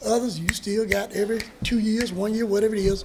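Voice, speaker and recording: A man with a North Carolina accent speaks in a high voice. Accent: US Southern (North Carolina). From North Carolina (Hertford County). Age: 60s. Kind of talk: casual talk to an audience.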